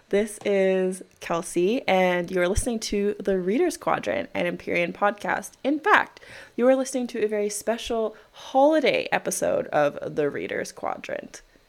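In a Canadian accent, a woman with a normal speaking voice and a medium pitch talks at a moderate pace with lively intonation and hardly any pauses, on a very clean recording with a silent background. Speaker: podcast host. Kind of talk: casual chat.

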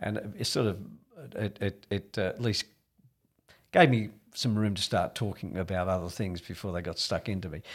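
A man with an Australian accent, fairly low pitch, fairly even intonation, a fairly quick pace and long, frequent pauses, on a very clean recording with a silent background. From Australia, rural New South Wales. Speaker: real estate executive. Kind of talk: interview.

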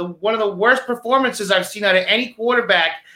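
A man uses a raised, projected voice, high-pitched with a bright, sharp tone and ordinary pitch variation. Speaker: sports talk show co-host. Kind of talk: casual banter, sports talk show.

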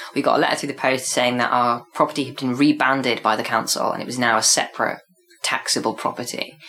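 Noticeable background noise sits behind a man talking at a very fast pace. His medium-pitched voice stays monotone and flat. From Devon, England. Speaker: performance artist. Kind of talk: casual chat.

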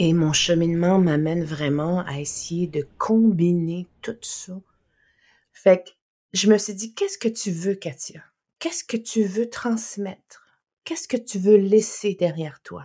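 A woman speaks at a very slow pace in a dark, mellow tone. Her loudness swings widely. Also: medium pitch for a woman, ordinary pitch variation. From Innu community, Quebec. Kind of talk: interview.

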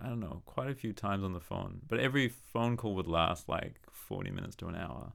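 With an Australian accent and lively intonation, a man of medium pitch talks at a fairly quick pace. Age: 30s. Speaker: saxophonist and composer. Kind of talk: casual chat.

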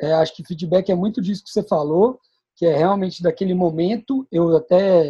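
This man's voice sits high in pitch yet has a dark, mellow tone. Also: ordinary pitch variation, moderate pace. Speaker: sales manager. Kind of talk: casual chat.

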